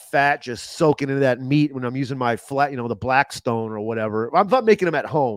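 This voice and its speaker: A man with an American accent at a very fast pace and a fairly high pitch, with ordinary pitch variation and hardly any pauses. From Los Angeles. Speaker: chef and comedian. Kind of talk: casual chat.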